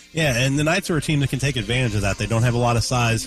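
Music plays behind a man as he talks. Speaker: radio color commentator. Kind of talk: analytical color commentary and pregame interviews. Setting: courtside at a high school gym. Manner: conversational, hesitant with frequent fillers.

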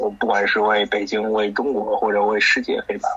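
A man rattles along at a very fast pace with noticeable background noise present. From Beijing, China. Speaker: ultimate frisbee team captain. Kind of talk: interview.

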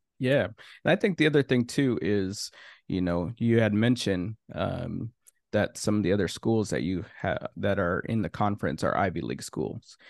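A plain, everyday voice from a man with an American accent, fairly low pitch, lively intonation and a moderate pace, in a dry, close sound with no echo over a quiet background. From Minnesota. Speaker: podcast host. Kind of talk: interview.

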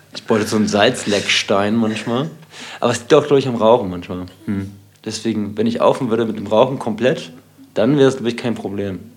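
A man speaks very fast at a medium pitch, his pitch varying in an ordinary way, while noticeable background noise sounds behind him. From Hamburg, Bergedorf. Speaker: techno DJ. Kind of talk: casual chat.

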